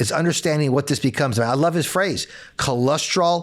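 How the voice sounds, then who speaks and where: On a very clean recording with a silent background, a man speaks in a fairly high voice with ordinary pitch variation. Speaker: doctor. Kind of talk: interview. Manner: fast.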